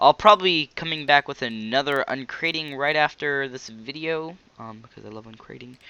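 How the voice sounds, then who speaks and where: A man's fairly high voice with ordinary pitch variation, big swings in loudness and hardly any pauses. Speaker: gaming video creator. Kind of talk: gameplay commentary. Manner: hesitant, many fillers; fast.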